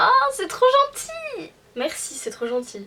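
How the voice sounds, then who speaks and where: A woman's raised, projected voice at a very slow pace, lively in intonation, amid noticeable background noise. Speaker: youtuber. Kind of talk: casual chat, Q&A. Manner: hesitant, lots of fillers.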